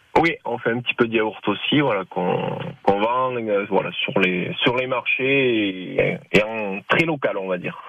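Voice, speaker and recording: With lively intonation and a medium pitch, a man talks at a very slow pace over noticeable background noise. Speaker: dairy farmer and cheesemaker. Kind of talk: radio interview. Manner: halting.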